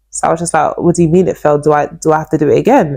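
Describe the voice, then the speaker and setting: A woman speaks in an animated tone with a London accent. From East London, England. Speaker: YouTuber telling life story. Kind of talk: personal testimony. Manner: animated, repetitive storytelling.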